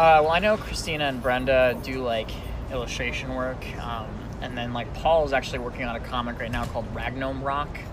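A man at a fairly quick pace, with audible room echo and music in the background. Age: 20s. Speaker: comic book artist. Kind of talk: interview.

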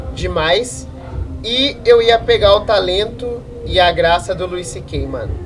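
Music plays in the background. Over it, a man speaks at a very slow pace. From Rio Claro, São Paulo state, Brazil. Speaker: beginner stand-up comedian. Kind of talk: casual chat.

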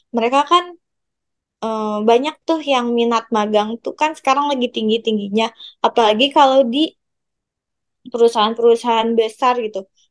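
Recorded dry and close with no echo, a woman talks at a moderate pace in a fairly high pitch with ordinary pitch variation. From West Java (Bandung). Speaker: university student. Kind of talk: casual chat.

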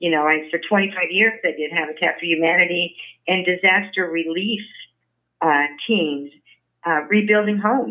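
A woman with an American accent and a normal speaking voice, medium in pitch, with ordinary pitch variation, at a moderate pace. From Washington, D.C. area. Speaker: civic activist and writer. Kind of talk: interview.

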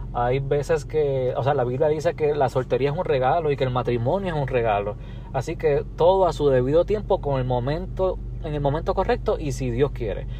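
A man speaks in an ordinary speaking voice at a fairly quick pace. His pitch is fairly high with ordinary variation. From Puerto Rico. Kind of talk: casual chat.

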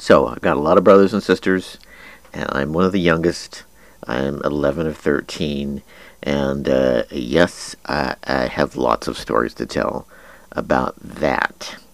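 This voice moves at a very slow pace, with ordinary pitch variation and vocal fry. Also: man, very deep, low pitch for a man. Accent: American. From Kansas. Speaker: internet radio host. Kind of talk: casual monologue. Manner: hesitant, many fillers.

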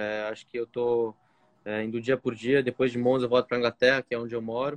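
Delivered at a fairly quick pace, the speech comes in a plain, everyday voice. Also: man. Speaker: racing driver. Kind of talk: casual interview. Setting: remote call from outside a restaurant.

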